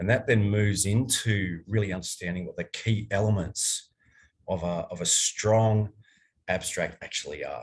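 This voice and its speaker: Against a quiet background, a man speaks in a somewhat breathy voice. His intonation stays fairly even. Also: fairly low pitch for a man, moderate pace. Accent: Australian. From Australia. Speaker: archaeologist, workshop presenter. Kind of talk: online academic workshop lecture. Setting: online workshop.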